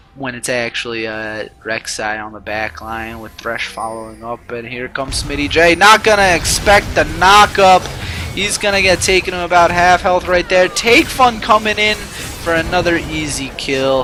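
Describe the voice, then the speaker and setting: A man with a high pitch talks at a moderate pace with hardly any pauses. His pitch swings very widely, and music plays in the background. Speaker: amateur esports caster. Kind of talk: live commentary.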